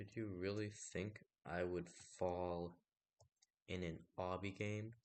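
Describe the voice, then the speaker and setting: A soft-spoken man talks in a very deep, low voice with fairly even intonation. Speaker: gaming video creator. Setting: solo recording.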